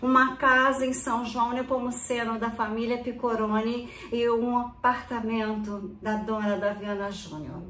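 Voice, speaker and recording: Speech comes at a fairly slow pace with hardly any pauses and fairly even intonation, over noticeable background noise and audible room echo. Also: woman, fairly high pitch for a woman. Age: 70s. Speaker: retired dentist and real estate agent. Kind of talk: personal video statement.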